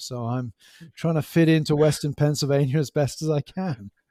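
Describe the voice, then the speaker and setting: In an English accent, a man with a fairly high pitch and a dark, mellow tone speaks at a moderate pace with fairly even intonation, recorded very cleanly against a silent background with a dry, close sound and no echo. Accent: English accent, kept after years in US. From England, West Country (Gloucestershire). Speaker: professor. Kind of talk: casual interview chat.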